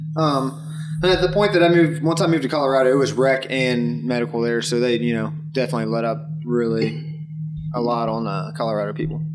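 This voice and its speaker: Speaking at a very fast pace with an American accent, a man is heard with audible room echo and noticeable background noise. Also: medium pitch for a man, lively intonation. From Dayton, Ohio, US Midwest. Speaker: cannabis grower. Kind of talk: casual chat. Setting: indoor grow room.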